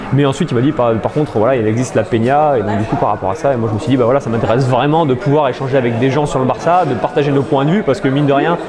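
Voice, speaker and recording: A man talks at a very fast pace in a fairly high pitch, with very even loudness. Room echo is audible, and there is noticeable background noise. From southern France, near Montélimar. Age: 20s. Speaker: football fan club member. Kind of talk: interview. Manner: hesitant, many fillers.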